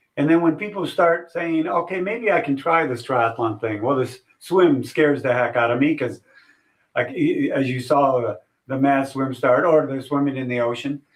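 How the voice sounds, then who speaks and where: This man has an unremarkable speaking voice, pitched fairly high. He talks at a moderate pace with ordinary pitch variation. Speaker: retired race announcer. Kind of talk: interview answer.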